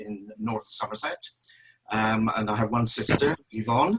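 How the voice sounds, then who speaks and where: A man talks at a moderate pace with a strong West Country accent. His pitch sits in the medium range. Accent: West Country, strong, broader when nervous. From West Country, Devon (Tiverton). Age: 60s. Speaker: church member. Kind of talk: testimony.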